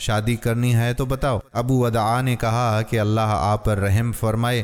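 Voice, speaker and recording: A man at medium pitch, with music in the background. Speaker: voice-over artist. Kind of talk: Islamic moral story narration.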